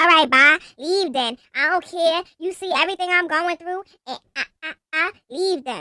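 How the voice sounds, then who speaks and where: In a put-on character voice, the speaker sounds squeaky and moves at a moderate pace. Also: female-sounding voice, extremely high pitch for a woman. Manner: dismissive, curt.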